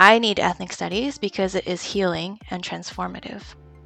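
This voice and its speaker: A woman with an American accent speaks at a fairly quick pace. Music plays in the background. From Philadelphia, US. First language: Taiwanese. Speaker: history teacher. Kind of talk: scripted presentation.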